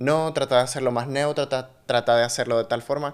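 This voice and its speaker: The man's voice is fairly high-pitched. He delivers his words in a flat, monotone way. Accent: Nicaraguan. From Nicaragua. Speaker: podcast host and actor. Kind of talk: casual interview chat.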